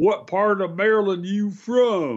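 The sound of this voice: A man speaks in a put-on character voice. His pitch is high.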